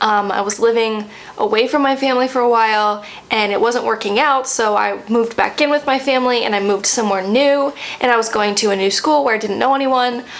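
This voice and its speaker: A woman with a fairly high pitch talks at a very fast pace. Noticeable background noise sits behind her. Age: 20s. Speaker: vlogger. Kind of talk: casual chat. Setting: home, sitting with coffee. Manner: conversational, hesitant with fillers.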